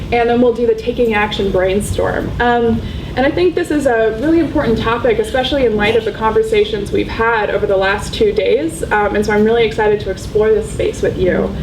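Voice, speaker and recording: Against noticeable background noise and audible room echo, a woman talks at a fairly quick pace with hardly any pauses. Her fairly high voice keeps very even loudness and ordinary pitch variation. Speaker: doctoral researcher. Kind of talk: lecture. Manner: fast; hesitant, many fillers.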